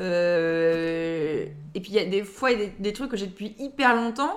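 Noticeable background noise accompanies a woman speaking at a medium pitch with ordinary pitch variation. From Lille area, northern France. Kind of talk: casual interview. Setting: at own home. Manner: hesitant, laughs often.

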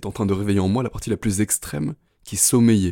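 Pitch varies in an ordinary way as a man moves through his words at a fairly quick pace. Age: 20s. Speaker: podcast host. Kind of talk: motivational monologue. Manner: intense.

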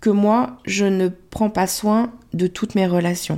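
A woman speaks very slowly at a medium pitch, with a dark, mellow tone. The recording is very clean, with a silent background. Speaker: love coach and podcast host. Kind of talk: solo podcast monologue.

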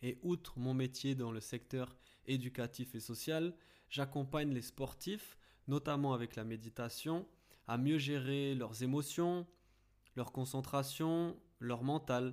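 The recording is very clean, with a silent background. A man speaks very slowly at medium pitch, with ordinary pitch variation. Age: 20s. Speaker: podcast host and mental coach for athletes. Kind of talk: scripted podcast introduction.

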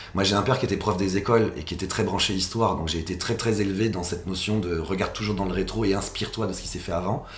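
A man speaks very fast at a fairly low pitch, with fairly even intonation. The room echo is audible and background noise is noticeable. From Paris region, France. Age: 40s. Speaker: social economy entrepreneur, fashion industry federation leader. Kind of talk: interview. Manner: halting, many fillers and repetitions.

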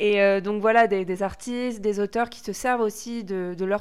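A woman with a medium pitch speaks at a fairly slow pace in fairly even intonation on a very clean recording with a silent background. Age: 20s. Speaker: podcast co-host. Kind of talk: casual chat. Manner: hesitant.

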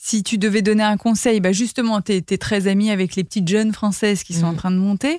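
In a plain, everyday voice, the speaker talks at a fairly quick pace with hardly any pauses and fairly even intonation, the sound dry and close with no echo. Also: woman, medium pitch for a woman. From Paris, France. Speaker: podcast host. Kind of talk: interview.

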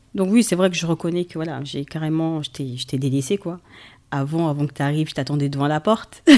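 Speaking at a fairly quick pace in a very deep, low voice with a dark, mellow tone and ordinary pitch variation, a woman is heard in a very clean recording with a silent background. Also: big swings in loudness. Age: 30s. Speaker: mother and host's wife. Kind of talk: casual chat.

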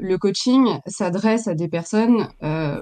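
Her pitch varies in an ordinary way as a woman speaks at a very slow pace. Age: 40s. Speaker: professional coach. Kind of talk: interview.

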